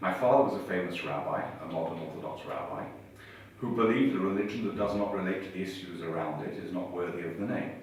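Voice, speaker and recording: A man with an English accent, very deep and low in pitch, at a very fast pace with ordinary pitch variation, audible room echo and noticeable background noise. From England. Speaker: rabbi. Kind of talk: interview.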